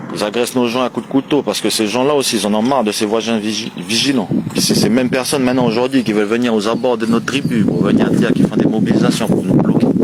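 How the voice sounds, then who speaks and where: A man at a medium pitch and a very fast pace, with hardly any pauses, fairly even intonation and very even loudness, over noticeable background noise. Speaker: community activist livestreamer. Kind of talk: livestream address.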